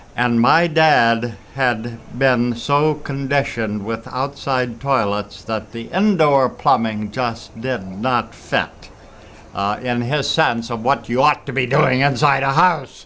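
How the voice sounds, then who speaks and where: The man talks at a very slow pace. Noticeable background noise sits behind his voice. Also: medium pitch for a man, ordinary pitch variation. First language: German. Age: 80s+. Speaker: retired father and grandfather. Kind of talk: interview answer. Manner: reflective, storytelling.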